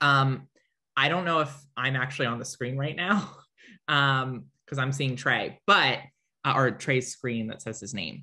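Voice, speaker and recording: A woman speaks at a very deep, low pitch in a bright, sharp tone, with ordinary pitch variation. Her pace is fairly slow against a quiet background. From Delaware (Wilmington); Delaware. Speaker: state senator. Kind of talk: interview. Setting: video call. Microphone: video call.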